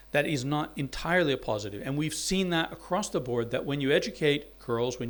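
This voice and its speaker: A man speaks with an American accent at a fairly high pitch. His pace is fairly quick. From US South, Alabama. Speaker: university dean and anthropologist. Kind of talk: symposium talk.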